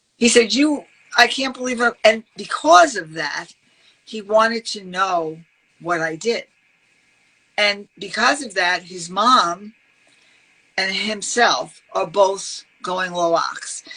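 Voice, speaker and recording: In a New York accent, the speaker goes at a very slow pace with lively intonation and long, frequent pauses. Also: woman, medium pitch for a woman, big swings in loudness. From New York, Brooklyn. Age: 60s. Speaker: health advocate. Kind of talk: podcast interview. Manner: animated.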